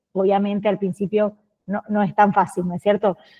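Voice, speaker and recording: At a fairly quick pace, a woman speaks in an Argentine accent with a medium pitch. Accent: Argentine Spanish (Rioplatense). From Argentina. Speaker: lawyer, course instructor. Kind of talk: lecture.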